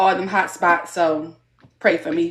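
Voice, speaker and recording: The speaker is a woman with a Baltimore accent. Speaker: student, study group participant. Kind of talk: self-introduction in discussion.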